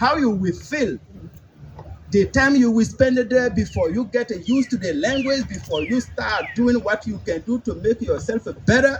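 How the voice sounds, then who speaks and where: Delivered at a moderate pace with a non-native accent, the speech has ordinary pitch variation and noticeable background noise. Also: man, extremely high pitch for a man. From Africa. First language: not English, speaks about seven languages. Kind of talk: public speech. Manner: halting.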